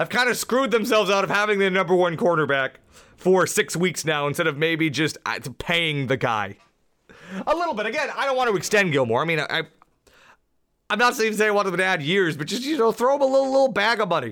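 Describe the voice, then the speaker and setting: On a very clean recording with a silent background, a man talks at a very fast pace in a high pitch, his tone animated, bright and sharp, with very wide pitch swings. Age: 20s. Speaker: sports podcast host. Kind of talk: solo sports analysis podcast. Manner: casual, animated.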